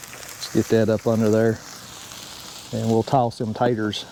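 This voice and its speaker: With a Southern US accent, a man speaks over noticeable background noise. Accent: Southern country accent, people remark on it. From US South, Georgia (Marietta/Smyrna, near Atlanta). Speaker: YouTuber, fabricator. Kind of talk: casual cooking vlog chat.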